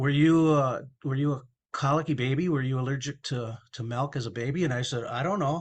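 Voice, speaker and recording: Against a quiet background, a man with a fairly high pitch talks at a fairly quick pace, somewhat breathy and with fairly even intonation. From Minnesota, US. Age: 60s. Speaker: recovery advocate sharing personal story. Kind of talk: interview testimony.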